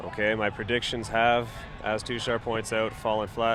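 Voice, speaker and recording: A man talks at a fairly quick pace with an Ottawa Valley accent. His pitch sits fairly low. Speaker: sports commentator. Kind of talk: live commentary. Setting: live webcast.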